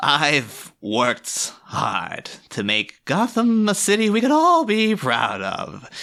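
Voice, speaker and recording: A man speaks in a put-on character voice. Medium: stage play. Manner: punning, joking.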